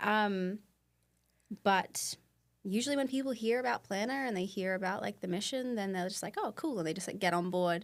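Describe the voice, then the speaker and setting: Speaking at a fairly quick pace, a woman talks with an Australian accent. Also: medium pitch for a woman, ordinary pitch variation. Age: 20s. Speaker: nonprofit co-founder and president. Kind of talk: podcast interview. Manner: casual, many fillers.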